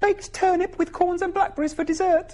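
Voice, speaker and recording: A put-on character voice, squeaky and extremely high-pitched, speaks at a fairly quick pace with monotone, flat intonation. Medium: read story.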